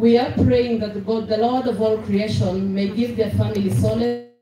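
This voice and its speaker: A woman at a moderate pace, amid noticeable background noise and audible room echo. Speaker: speaker. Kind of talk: funeral tribute speech. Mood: solemn. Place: open country.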